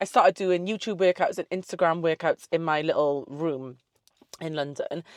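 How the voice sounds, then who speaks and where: With a South Wales accent, a woman with a fairly low pitch speaks in an animated tone with lively intonation, the sound dry and close with no echo and a quiet background. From South Wales (Newport and the valleys), early years in the Caribbean. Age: 30s. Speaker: online fitness coach and social media creator. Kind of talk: casual Q&A vlog. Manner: animated, chatty.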